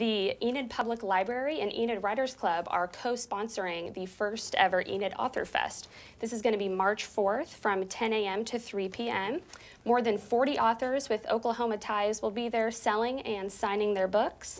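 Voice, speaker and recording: A woman's speech has ordinary pitch variation and a moderate pace. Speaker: TV host. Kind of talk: news-style event announcements. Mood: bright, upbeat. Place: studio. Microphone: lapel.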